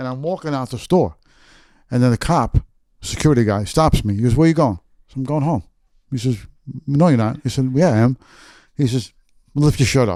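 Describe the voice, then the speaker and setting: Speaking at a fairly quick pace with long, frequent pauses, a man with a New York accent and a dark, mellow tone keeps a medium pitch and ordinary pitch variation on a very clean recording with a silent background. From New York City, Queens. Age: 60s. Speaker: author. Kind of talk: storytelling interview.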